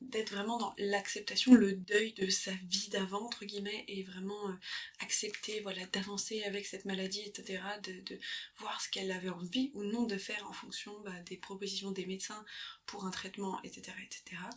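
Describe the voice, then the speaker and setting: A woman speaks at a moderate pace in a medium pitch, her intonation monotone and flat. Her loudness swings widely, and there is noticeable background noise. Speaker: ASMR creator and book lover. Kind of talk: book recommendation, summarising a memoir's story in casual talk. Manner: soft-spoken, hesitant, self-correcting.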